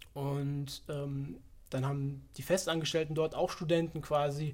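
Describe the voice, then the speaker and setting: A man talks in a fairly high, somewhat breathy voice. His intonation stays fairly even. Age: 20s. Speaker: fitness economics student. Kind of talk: casual interview.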